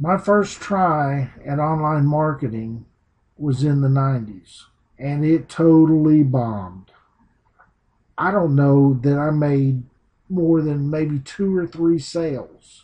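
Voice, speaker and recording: A man with a Southern US accent speaks at a very slow pace, his voice somewhat breathy. His pitch sits fairly high, with ordinary pitch variation. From US South. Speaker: teacher turned online marketing trainer. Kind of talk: online training presentation. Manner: casual, unpolished.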